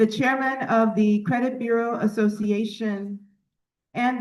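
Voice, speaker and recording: With an American accent, a woman speaks in a plain, everyday voice, fairly high in pitch, at a fairly slow pace. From United States. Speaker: business executive and conference speaker. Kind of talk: formal keynote speech. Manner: formal.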